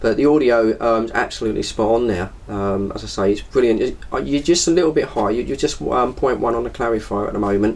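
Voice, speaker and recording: A man with an English accent at a very fast pace and medium pitch, hardly any pauses, ordinary pitch variation, and noticeable background noise. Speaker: CB radio operator. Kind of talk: CB radio chat.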